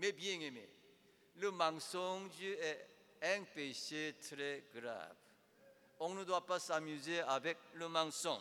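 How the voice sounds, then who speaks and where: The voice has a bright, sharp tone and ordinary pitch variation, moving at a very slow pace with long, frequent pauses. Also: man, high pitch for a man. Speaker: preacher. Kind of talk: sermon, preaching to a congregation, with direct appeals to the listener. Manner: emphatic and rhetorical, with rhetorical questions.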